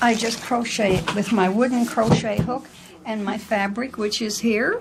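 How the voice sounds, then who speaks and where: A woman's fairly high voice with a slight Newfoundland accent, fairly even intonation and a moderate pace, over noticeable background noise. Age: 70s. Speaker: rug maker. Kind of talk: casual interview.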